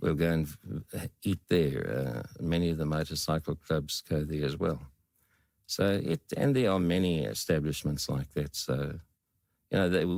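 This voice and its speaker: With vocal fry running through it, a man's voice sits very deep and low. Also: ordinary pitch variation, very clean recording, silent background. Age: 70s. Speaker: veteran biker. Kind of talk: podcast interview. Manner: hesitant, with fillers.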